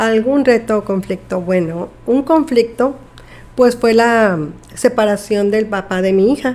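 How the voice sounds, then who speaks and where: A woman speaks at a fairly slow pace in an ordinary speaking voice, her pitch fairly high with ordinary variation. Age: 50s. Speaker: nurse. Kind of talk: interview.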